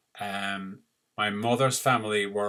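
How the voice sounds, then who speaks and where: This man speaks with a slight Irish accent in a fairly low voice. His intonation is monotone and flat. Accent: Irish, mild and easy to understand. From Ireland, Cork. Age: 60s. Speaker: retired doctor. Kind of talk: personal story to camera.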